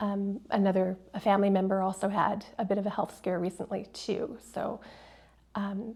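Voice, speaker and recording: At a moderate pace, a woman speaks at a medium pitch with a somewhat breathy voice. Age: 50s. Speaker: artist and educator. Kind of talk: casual chat.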